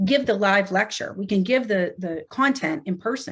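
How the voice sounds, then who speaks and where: A somewhat breathy woman's voice at medium pitch with ordinary pitch variation, in a very clean recording with a silent background. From Pittsburgh, US. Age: 40s. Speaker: nurse anesthetist and educator. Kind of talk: casual interview. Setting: podcast recording.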